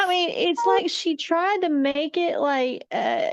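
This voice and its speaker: A woman with an Appalachian accent at a fairly slow pace. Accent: Appalachian Southern US. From East Tennessee. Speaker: film review podcast co-host. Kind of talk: casual chat. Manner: animated.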